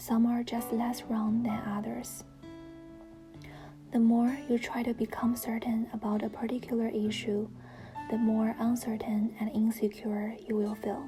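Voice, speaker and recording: A woman with a fairly high pitch speaks at a fairly slow pace in a flat monotone. Music plays in the background. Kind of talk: reading book quotes aloud (read-with-me, self-help).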